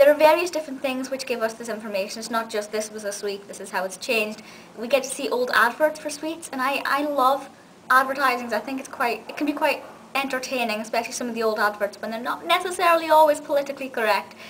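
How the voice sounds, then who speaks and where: A woman speaks at a very fast pace in a high pitch with ordinary pitch variation, over light background noise. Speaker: video reviewer. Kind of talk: casual vlog review. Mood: enthusiastic, warm. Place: home room. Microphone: webcam.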